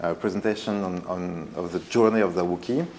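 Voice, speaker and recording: Over noticeable background noise, a man talks with a strong French accent. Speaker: art foundation director, former artist's assistant. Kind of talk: presentation talk. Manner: hesitant, many fillers.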